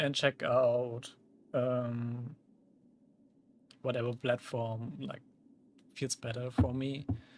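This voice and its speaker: A man's medium-pitched voice, monotone and flat, at a very slow pace with long, frequent pauses. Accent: German. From Germany. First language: German. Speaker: vtuber streamer. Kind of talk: casual gaming livestream chat. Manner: many fillers, casual.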